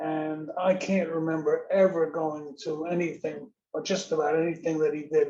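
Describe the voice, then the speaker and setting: Fairly slow, fairly even speech from a man with a fairly high pitch and a dark, mellow tone. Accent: New York. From New York City (South Bronx). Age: 80s+. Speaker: audience member. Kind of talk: Q&A comment. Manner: halting.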